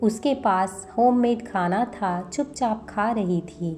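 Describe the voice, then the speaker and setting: Background music plays under a woman's voice. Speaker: voice-over artist. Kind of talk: romantic story narration.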